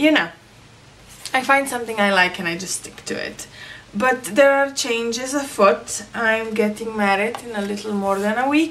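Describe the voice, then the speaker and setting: A woman with a non-native accent speaks at a moderate pace in a fairly high pitch with ordinary pitch variation and big swings in loudness over noticeable background noise. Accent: own non-native accent, disliked. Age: 30s. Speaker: crafting vlogger. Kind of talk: casual vlog talk. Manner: hesitant, many fillers.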